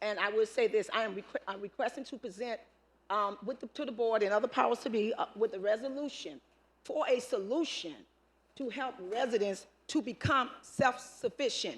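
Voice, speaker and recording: Speaking at a moderate pace, a woman has a normal speaking voice, a fairly high pitch and ordinary pitch variation. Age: 60s. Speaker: public commenter, community volunteer. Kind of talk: public comment at board meeting. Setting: public meeting with microphone.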